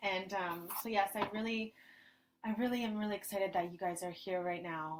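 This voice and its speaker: A woman speaks softly. Her intonation stays fairly even. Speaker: spiritual ceremony leader. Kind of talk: guided group ceremony over video call. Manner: soft-spoken.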